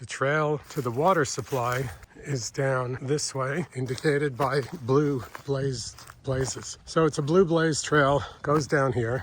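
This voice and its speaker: A man's medium-pitched voice, fairly slow, with fairly even intonation and noticeable background noise. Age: 60s. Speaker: long-distance hiker vlogger. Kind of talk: casual vlog narration. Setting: outdoors on a hiking trail.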